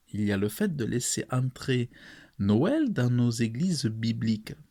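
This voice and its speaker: Over a silent background, a man speaks at a very slow pace. The recording is very clean. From France. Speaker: preacher. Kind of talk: sermon to camera.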